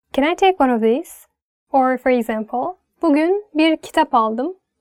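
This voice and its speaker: A woman's high-pitched voice with a Turkish accent, at a moderate pace, in a dry, close sound with no echo. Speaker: language teacher. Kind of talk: tutorial.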